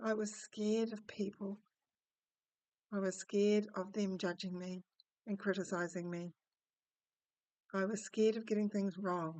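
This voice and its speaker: A woman with a dark, mellow tone and medium pitch speaks at a moderate pace in a monotone, flat intonation, pausing long and often. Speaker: spiritual teacher / personal-story narrator. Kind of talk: personal story told to camera, reflective talk. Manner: quiet at times, soft-spoken.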